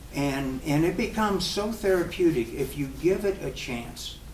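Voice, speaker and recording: A man with an American accent speaks with lively intonation. Audible room echo and noticeable background noise surround his voice. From military family, US with high school in Germany. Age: 70s. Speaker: professional drummer. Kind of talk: casual Q&A at a clinic. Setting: drum shop with live audience. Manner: halting, with many repeated words.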